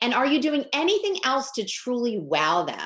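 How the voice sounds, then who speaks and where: A woman talks at a moderate pace in an animated tone. Her intonation is lively. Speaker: pet sitting business coach. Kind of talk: tutorial.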